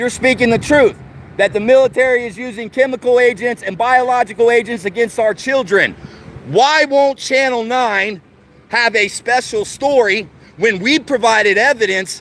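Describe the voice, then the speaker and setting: Loud and at a moderate pace, a man talks with an extremely high pitch. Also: ordinary pitch variation. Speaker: activist livestreamer. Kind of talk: street livestream protest speech. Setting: outdoors outside a TV station. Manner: impassioned.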